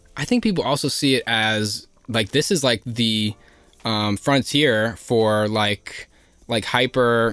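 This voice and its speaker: In an American accent, the speaker goes at a very slow pace with fairly even intonation, recorded very cleanly against a silent background. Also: man, medium pitch for a man. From New Jersey (Elizabeth). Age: 20s. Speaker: housing organizer. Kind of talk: casual chat.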